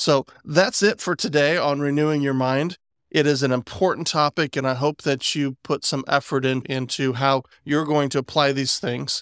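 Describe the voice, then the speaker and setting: An unremarkable speaking voice from a man with an American accent, fairly high in pitch, with fairly even intonation, on a very clean recording with a silent background and a dry, close sound with no echo. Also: moderate pace. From West Virginia. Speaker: podcast host. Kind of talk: casual chat.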